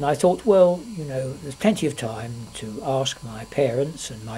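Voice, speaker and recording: A man's fairly high, lively voice at a fairly slow pace, with noticeable background noise. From London, England. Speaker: grandfather telling his life story. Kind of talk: reading aloud; casual chat. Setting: at home, being filmed.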